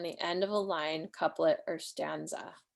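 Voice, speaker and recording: A woman speaks with vocal fry. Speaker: poet and writing teacher. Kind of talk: online workshop lecture. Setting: livestream video call. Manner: casual, filler-heavy.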